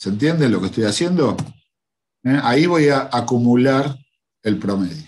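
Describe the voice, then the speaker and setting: A man with a medium-pitched voice speaks at a moderate pace with lively intonation and long, frequent pauses. Audible room echo surrounds him. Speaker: teacher. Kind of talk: lecture. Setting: online class livestream.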